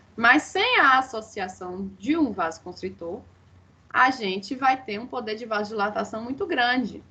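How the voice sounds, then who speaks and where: Against noticeable background noise, a woman speaks at a fairly slow pace with a fairly high pitch. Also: lively intonation, big swings in loudness. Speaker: dentistry lecturer. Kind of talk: online lecture.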